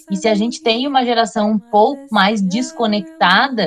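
Against noticeable background noise, a woman talks at a moderate pace with a fairly high pitch. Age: 40s. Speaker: history teacher and researcher. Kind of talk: casual chat.

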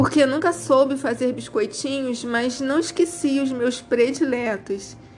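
Against noticeable background noise, a woman speaks with a high pitch and ordinary pitch variation. Her pace is fairly slow, with hardly any pauses. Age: 50s. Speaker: fashion designer and style consultant. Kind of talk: reading aloud.

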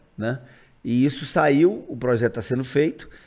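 At a moderate pace and medium pitch, a man with an unremarkable speaking voice talks in a very clean recording with a silent background. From Brazil, Montes Claros, Minas Gerais. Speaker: state legislator and physician. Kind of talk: casual interview.

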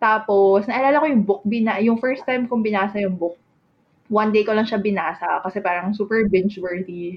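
A woman has an ordinary speaking voice at a medium pitch. She moves at a fairly quick pace. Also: ordinary pitch variation. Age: 30s. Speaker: podcast co-host. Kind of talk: casual chat.

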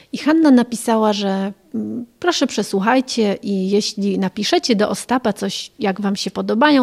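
An ordinary speaking voice from a woman, fairly high in pitch, with ordinary pitch variation, at a moderate pace, in a dry, close sound with no echo. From Poland, Warmia-Masuria region, later Germany. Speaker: sworn translator and foundation founder. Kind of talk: reportage interview.

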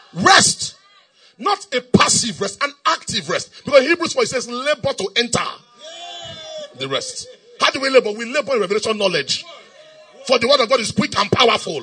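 An animated tone at a moderate pace, with long, frequent pauses and noticeable background noise. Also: man. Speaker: preacher. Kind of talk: sermon. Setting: church. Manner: animated, call-and-response; repetitive, emphatic.

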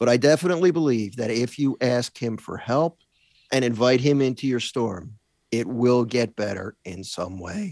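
This is a plain, everyday voice with lively intonation at a moderate pace. The sound is dry and close, with no echo. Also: man, medium pitch for a man. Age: 60s. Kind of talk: casual chat.

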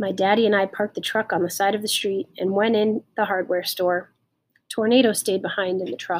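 Against a quiet background comes plain reading aloud with fairly even intonation.

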